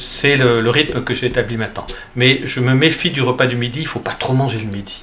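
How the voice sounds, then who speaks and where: Over noticeable background noise, a man talks at a fairly slow pace and medium pitch with fairly even intonation. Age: 60s. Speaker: pilgrim and author. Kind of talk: interview. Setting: at his home. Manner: halting.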